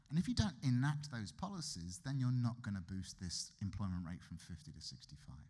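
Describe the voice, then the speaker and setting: With a British accent, a man talks at a fairly quick pace with hardly any pauses, in a medium pitch and a dark, mellow tone, somewhat breathy, showing very wide pitch swings and big swings in loudness. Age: 50s. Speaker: economist. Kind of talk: lecture. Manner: conversational.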